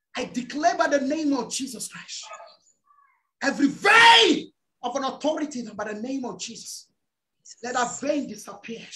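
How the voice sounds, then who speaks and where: Against a quiet background, a man talks at a moderate pace, leaving long, frequent pauses. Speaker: preacher. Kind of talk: fervent prayer and deliverance declarations; fervent prayer sermon. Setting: church. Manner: loud, commanding, fiery. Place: home room. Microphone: video call.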